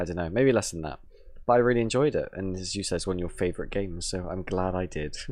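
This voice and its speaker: A man with an English accent and a very deep, low pitch talks at a very fast pace with ordinary pitch variation. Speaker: gaming podcast co-host. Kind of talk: casual chat.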